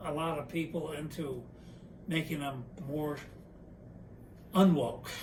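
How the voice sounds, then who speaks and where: In a room with audible echo, a man speaks at a fairly slow pace with a fairly high pitch. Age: 80s+. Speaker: interviewee. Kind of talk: casual chat.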